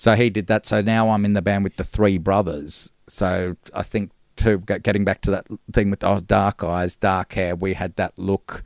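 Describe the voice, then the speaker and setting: A man with an Australian accent speaks at a moderate pace in a fairly low voice, his intonation flat and monotone. The sound is dry and close with no echo, and the recording is very clean against a silent background. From Gold Coast, Australia. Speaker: musician. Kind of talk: casual chat.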